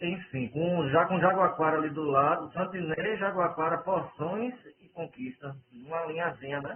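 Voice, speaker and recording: Speaking at a fairly slow pace, a man with a high pitch shows ordinary pitch variation and big swings in loudness. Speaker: university administrator chairing a meeting. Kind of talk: online work meeting. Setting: video call from home bedroom. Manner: soft-spoken. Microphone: sounds muffled.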